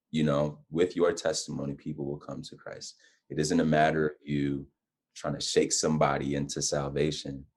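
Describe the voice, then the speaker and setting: A man speaks at a moderate pace. His loudness swings widely. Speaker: guest on faith and lifestyle talk show. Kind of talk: casual interview chat.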